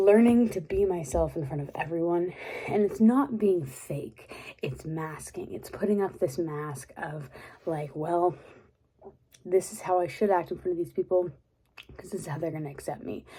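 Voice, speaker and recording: A soft-spoken woman with an American accent talks at a moderate pace, her pitch fairly low. Her intonation is lively, and her loudness swings widely. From Texas. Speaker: ASMR creator. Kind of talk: casual rambling talk to camera.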